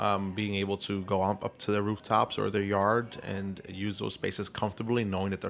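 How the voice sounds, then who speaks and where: The speaker uses monotone, flat intonation at a moderate pace in an American accent. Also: man. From Brooklyn, New York City. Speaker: city council member. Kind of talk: interview. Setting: studio.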